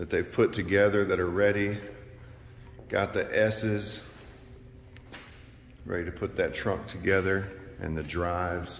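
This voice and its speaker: Through audible room echo and light background noise, a man talks at a very slow pace, his fairly low voice keeping a fairly even intonation. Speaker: HVAC contractor. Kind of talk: casual job-site walkthrough commentary. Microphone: phone near.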